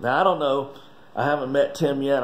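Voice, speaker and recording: Talking at a very fast pace, a man in a North Carolina accent uses ordinary pitch variation. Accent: Southern US (North Carolina). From Wilkes County, North Carolina. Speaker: master distiller. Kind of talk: casual talk to camera. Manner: enthusiastic. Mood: earnest, emotional. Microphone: phone near.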